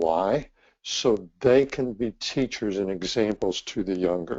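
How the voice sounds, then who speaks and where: A man speaks at a very slow pace with a fairly low pitch. His pitch varies in an ordinary way. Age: 60s. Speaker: ministry leader and trainer. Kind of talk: presentation.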